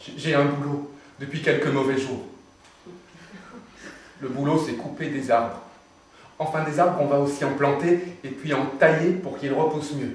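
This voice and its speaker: A man's fairly high voice, monotone and flat, at a fairly slow pace, with long, frequent pauses and noticeable background noise. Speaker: stage actor. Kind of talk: theatre monologue.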